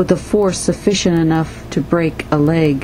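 Noticeable background noise sits behind a woman's voice. She speaks at a fairly low pitch and a very slow pace. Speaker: poet. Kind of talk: poetry reading.

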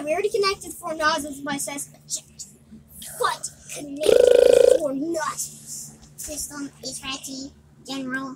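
A woman does a robotic, put-on character voice, high in pitch and at a moderate pace.

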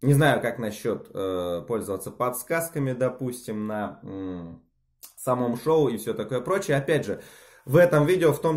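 Lively intonation marks a man's fairly slow speech against a quiet background. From Siberia, Russia (Novosibirsk); Russia. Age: 20s. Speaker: amateur tennis player and sports bettor. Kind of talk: self-recorded video application. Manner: halting, many filler sounds. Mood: self-ironic, lightly joking. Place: home room. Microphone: phone near.

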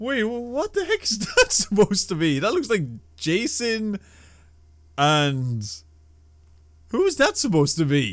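A man's high-pitched voice with very wide pitch swings, a fairly bright tone, a slow pace and long, frequent pauses

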